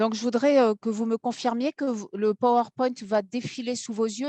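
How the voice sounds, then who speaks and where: On a dry, close recording with no echo, a woman's dark, mellow, fairly high-pitched voice carries fairly even intonation. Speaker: law academic, environmental and urban planning law. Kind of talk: seminar lecture via interpreter. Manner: fast.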